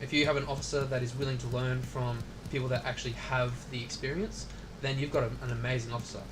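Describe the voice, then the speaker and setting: A man mumbles with an Australian accent, and audible room echo fills the recording. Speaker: military veteran streaming a video game. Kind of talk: casual chat. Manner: mumbling, lots of filler words.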